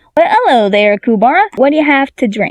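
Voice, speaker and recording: A woman uses a put-on character voice, pitched high. She speaks at a fairly quick pace. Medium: read story. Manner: cheery, teasing.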